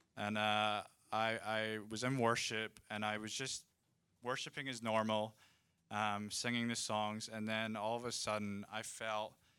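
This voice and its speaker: Speaking at a fairly slow pace with a Scottish accent, a man has a fairly low pitch, a bright, sharp tone and a flat, monotone delivery, recorded very cleanly against a silent background. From Scotland. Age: 20s. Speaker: ministry student. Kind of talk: testimony. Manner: halting.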